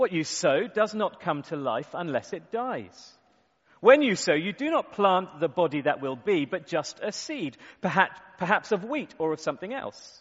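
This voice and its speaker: The pitch swings very widely. The pace stays moderate. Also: man, high pitch for a man. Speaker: conference host. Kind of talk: interviewing speaker, reading scripture aloud.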